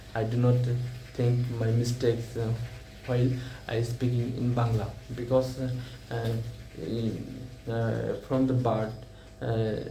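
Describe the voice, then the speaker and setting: A man at medium pitch, monotone and flat, very slow, with audible room echo. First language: Bengali. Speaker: English learner vlogger. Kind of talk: casual speaking practice monologue. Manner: halting, many fillers and repetitions.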